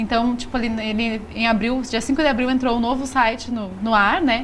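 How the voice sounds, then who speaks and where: A woman speaks with a high pitch and fairly even intonation at a moderate pace. Audible room echo is present. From Rio Grande do Sul, southern Brazil. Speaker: magazine publisher. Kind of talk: TV interview.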